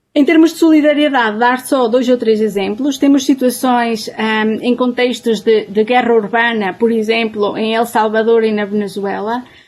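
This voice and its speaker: A woman's fairly high voice at a moderate pace with hardly any pauses and ordinary pitch variation, over noticeable background noise. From Portugal, Trás-os-Montes. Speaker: humanitarian anthropologist. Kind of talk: webinar talk. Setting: online webinar.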